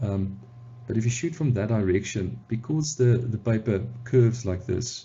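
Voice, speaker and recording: Somewhat breathy, a man talks at a moderate pace. His pitch varies in an ordinary way. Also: medium pitch for a man. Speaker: photographer. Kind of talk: tutorial talk to camera. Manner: casual, hesitant with fillers.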